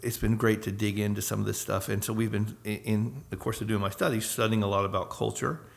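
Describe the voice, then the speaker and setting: In an American accent, a man talks at a fairly low pitch with vocal fry and monotone, flat intonation. He leaves hardly any pauses. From US South, Northwest Florida. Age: 50s. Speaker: missionary. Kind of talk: casual interview. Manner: halting.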